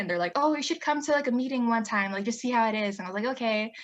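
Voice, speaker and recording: The woman's tone is bright and sharp, and her pitch varies in an ordinary way. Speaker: student government president. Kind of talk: casual chat. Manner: fast.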